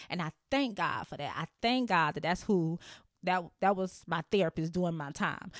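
A woman's animated voice at a moderate pace, with ordinary pitch variation. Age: 30s. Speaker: podcast host. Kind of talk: casual chat. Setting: home studio. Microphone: new mic.

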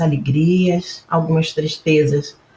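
At a fairly slow pace, a woman talks in a fairly low, somewhat breathy voice. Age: 70s. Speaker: retired federal appellate judge. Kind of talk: testimony.

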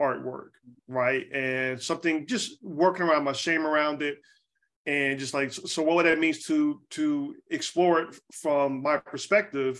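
At a moderate pace, a man with an American accent talks in a plain, everyday voice, fairly high in pitch. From US South, Charlotte, North Carolina. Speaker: graphic designer and creative director. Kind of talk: interview, casual chat. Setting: video call.

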